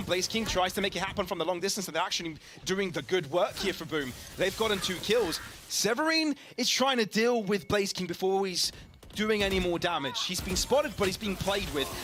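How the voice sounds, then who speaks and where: Against noticeable background noise, a man speaks fairly quickly in a high pitch with ordinary pitch variation. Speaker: esports caster. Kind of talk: live commentary. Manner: fast; animated.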